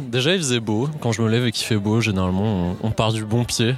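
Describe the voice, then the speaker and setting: At a fairly quick pace, a man speaks in a normal speaking voice at a medium pitch. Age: 20s. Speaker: software engineer. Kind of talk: casual chat.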